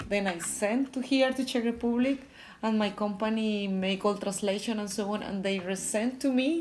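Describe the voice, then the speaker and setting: A woman speaks at a moderate pace with ordinary pitch variation. Her fairly high voice is somewhat breathy. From Colombia, Bogota. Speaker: electrical engineer in sales. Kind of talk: interview. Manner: halting.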